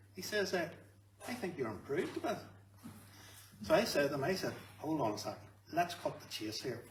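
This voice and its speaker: A man with a Northern Irish accent speaks fairly quickly, his fairly high voice swinging very widely in pitch, with long, frequent pauses. Audible room echo surrounds him. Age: 60s. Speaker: canary breeder. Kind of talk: testimony.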